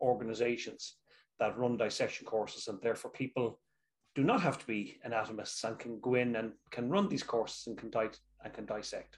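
Speaking with a Dublin accent, a man keeps up a fairly quick pace. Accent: Irish (Dublin). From Ireland, Dublin. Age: 60s. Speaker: clinical anatomist and movement teacher. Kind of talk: interview with anatomy demonstration. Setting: video call.

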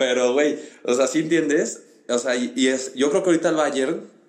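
Someone with a Mexican accent speaks with ordinary pitch variation in a room with audible echo. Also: man. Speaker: podcast host. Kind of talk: casual chat.

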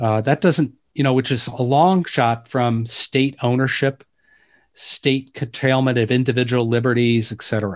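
Speech comes in a Midwestern American accent at a moderate pace. The intonation is fairly even and the background is quiet. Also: man, medium pitch for a man. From US Midwest, Detroit suburbs. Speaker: author and inequality researcher. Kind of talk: interview. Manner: hesitant, many fillers.

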